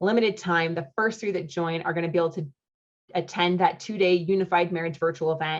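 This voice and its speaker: A woman's fairly low pitch at a fairly quick pace against a quiet background. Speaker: marriage coach. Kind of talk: sales pitch. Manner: animated; fast.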